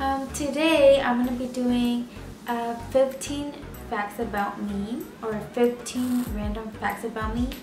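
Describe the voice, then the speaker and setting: Clear music plays behind a woman who speaks at a very slow pace, high-pitched, with fairly even intonation. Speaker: vlogger. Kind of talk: casual talk to camera. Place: home room. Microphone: camera far.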